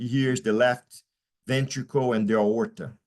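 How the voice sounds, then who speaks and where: This man has a Portuguese accent and a medium pitch. He talks at a moderate pace with ordinary pitch variation. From Brazil. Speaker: pediatric surgeon. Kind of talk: lecture. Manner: loud. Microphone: faint, cutting-out audio.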